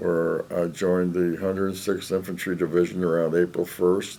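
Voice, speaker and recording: A man with a Chicago accent speaks at a moderate pace in a very deep, low pitch, his tone dark and mellow and his intonation monotone and flat. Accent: Chicago American English. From US Midwest, Chicago. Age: 90s. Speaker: war veteran. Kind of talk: oral history interview. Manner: halting, many fillers.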